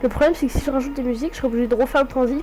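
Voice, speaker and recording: With music in the background, a woman speaks in a high pitch. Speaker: gaming YouTuber. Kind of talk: casual tutorial vlog. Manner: hesitant, many fillers.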